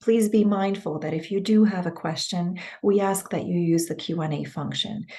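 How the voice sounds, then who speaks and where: A woman's somewhat breathy voice with a dark, mellow tone, fairly even intonation and a moderate pace. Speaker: webinar moderator. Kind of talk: webinar announcements.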